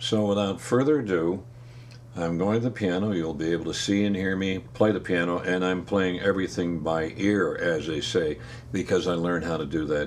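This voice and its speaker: A man with an American accent speaks at a moderate pace in a very deep, low voice with lively intonation. There is audible room echo and noticeable background noise. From upstate New York. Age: 80s+. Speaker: retired piano player and music teacher. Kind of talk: casual talk to camera. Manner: halting.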